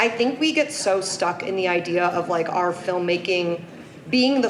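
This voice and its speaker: A woman speaks at medium pitch with ordinary pitch variation. Both background noise and room echo are audible. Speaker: screenwriter and content creator. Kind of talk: conference talk. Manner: fast; casual, filler-heavy.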